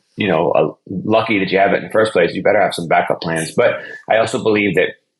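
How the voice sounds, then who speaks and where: Speaking at a very fast pace, a man keeps a fairly low pitch with ordinary pitch variation. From Ohio, outside Cleveland. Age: 40s. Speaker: DJ and brand consultant. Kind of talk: podcast interview. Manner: casual, conversational.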